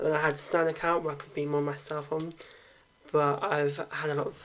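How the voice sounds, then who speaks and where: A man with a fairly high pitch keeps his intonation fairly even against noticeable background noise. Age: 20s. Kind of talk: casual Q&A talk to camera. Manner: hesitant, awkward.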